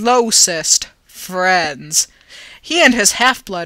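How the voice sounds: The delivery is a natural reading voice whose pitch shifts in an ordinary way.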